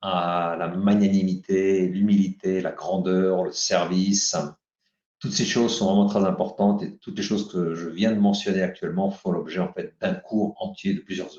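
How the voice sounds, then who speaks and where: A man with a fairly low pitch talks at a moderate pace in a flat monotone, his loudness swinging widely. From France, Paris. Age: 60s. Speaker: author and leadership teacher. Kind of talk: interview.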